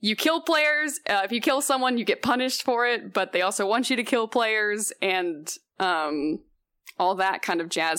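Lively in intonation, a woman speaks at a fairly high pitch in a bright, sharp tone on a very clean recording with a silent background. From Houston, Texas. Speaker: video game host and writer. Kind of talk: casual chat.

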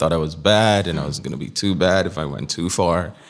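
A man talks at a moderate pace with a very deep, low pitch, vocal fry and ordinary pitch variation. The recording is very clean, with a silent background. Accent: American. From Nigeria. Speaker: tech entrepreneur and former presidential candidate. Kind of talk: interview conversation. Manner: hesitant, many fillers.

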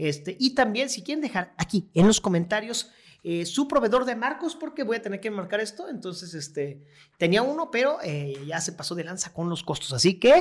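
A man speaks with a high pitch and very wide pitch swings. His tone is animated, at a moderate pace. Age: 30s. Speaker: stand-up comedian and radio news host. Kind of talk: casual interview chat.

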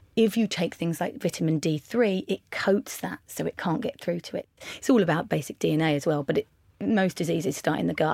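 A woman's fairly low voice with vocal fry and an English accent, at a fairly quick pace, dry and close with no echo, on a very clean recording with a silent background. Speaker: makeup artist and beauty entrepreneur. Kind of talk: casual interview. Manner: louder.

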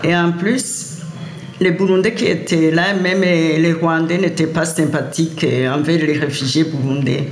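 A woman speaks very slowly in a fairly low voice with fairly even intonation. The room echo is audible, and there is noticeable background noise. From Great Lakes Africa. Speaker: elder interviewee. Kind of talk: testimony.

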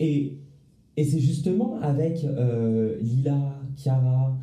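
The speaker uses ordinary pitch variation. Room echo is audible. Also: man. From Paris, France. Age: 20s. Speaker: law student. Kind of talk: casual chat. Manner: halting, many repetitions. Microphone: too far from the mic.

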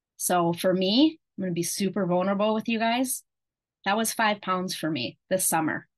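Against a quiet background, a woman with an ordinary speaking voice and a medium pitch talks at a moderate pace with lively intonation. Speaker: health coach. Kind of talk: coaching talk to a group. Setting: video call. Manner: warm, encouraging.

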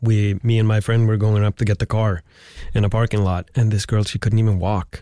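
With a Swedish accent, a man speaks at a fairly quick pace in a fairly low pitch, his tone dark and mellow and his intonation monotone and flat, in a dry, close recording with no echo. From Sweden. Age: 40s. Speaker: podcast host. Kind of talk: casual chat. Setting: studio.

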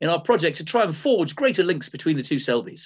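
Speaking very fast with an English accent, a man uses a high pitch and very wide pitch swings against a quiet background. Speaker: comedian and podcast co-host. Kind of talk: casual chat; formal presentation to council. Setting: video call.

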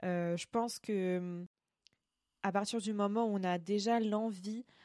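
A woman speaks with fairly even intonation. The recording is very clean and dry, close with no echo, over a silent background. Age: 20s. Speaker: podcast host. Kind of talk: solo podcast monologue. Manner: hesitant with frequent fillers.

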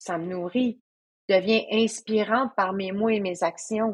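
Her pitch is medium, and this woman's voice varies in pitch in an ordinary way. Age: 40s. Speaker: trail runner and coach. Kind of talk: casual chat.

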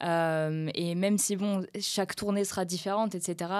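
A woman, in an ordinary speaking voice of medium pitch, keeps her intonation fairly even on a very clean recording with a silent background. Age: 20s. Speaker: professional guitarist. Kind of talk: casual interview.

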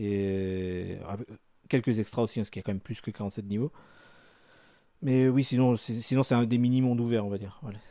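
At a fairly quick pace, a man talks with a dark, mellow tone and ordinary pitch variation. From France. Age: 30s. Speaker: video game fan living in Japan. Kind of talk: casual chat.

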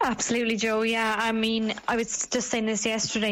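In an Irish accent, a woman talks with a fairly high pitch.

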